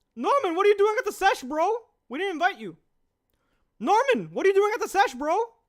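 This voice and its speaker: In a put-on character voice pitched extremely high, a man rattles along very fast, broken by long, frequent pauses. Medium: game stream. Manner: slangy, casual.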